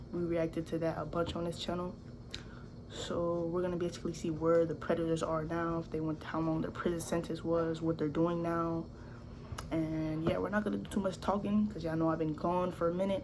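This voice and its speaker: Audible room echo surrounds a woman speaking fairly quickly in a fairly low voice. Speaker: YouTuber reacting to videos. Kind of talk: casual reaction commentary. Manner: animated.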